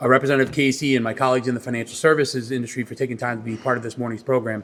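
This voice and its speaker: This man talks very fast in a New York accent. His medium-pitched voice keeps a fairly even intonation. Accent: New York (Queens). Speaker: credit union executive. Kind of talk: press conference speech. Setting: press conference.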